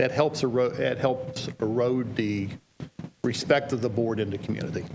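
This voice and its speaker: The speaker talks with a West Virginia accent over noticeable background noise. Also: man. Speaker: legal trainer for school boards. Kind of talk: training presentation.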